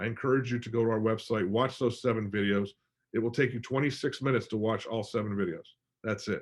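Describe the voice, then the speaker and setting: A man's voice, medium in pitch, moves at a fairly quick pace. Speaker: financial advisor. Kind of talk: webinar presentation. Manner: fast; animated.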